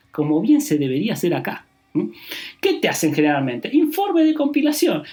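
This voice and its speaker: A man talks at a fairly quick pace with a high pitch and very wide pitch swings. Music plays in the background. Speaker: public accountant, tax advisor. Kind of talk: podcast monologue on tax. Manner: fast.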